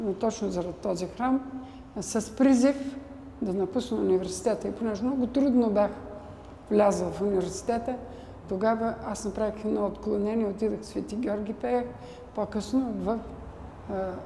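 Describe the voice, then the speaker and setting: Noticeable background noise and audible room echo surround speech with long, frequent pauses and fairly even intonation. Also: woman, fairly high pitch for a woman, moderate pace. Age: 80s+. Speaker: church bell ringer. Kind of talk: interview testimony. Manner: halting.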